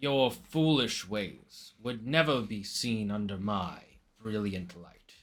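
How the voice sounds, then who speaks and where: Using an exaggerated character voice, a man talks fairly slowly. His voice sits fairly low. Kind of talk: lofty, archaic. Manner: grandiose, arrogant.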